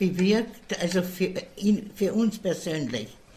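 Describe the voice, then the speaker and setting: Somewhat breathy, a woman talks at a very slow pace with ordinary pitch variation. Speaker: care home resident. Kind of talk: interview.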